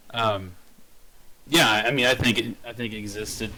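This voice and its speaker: Against noticeable background noise, a man speaks at a moderate pace with a fairly low pitch and fairly even intonation. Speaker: podcast co-host. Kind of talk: casual chat. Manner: loud.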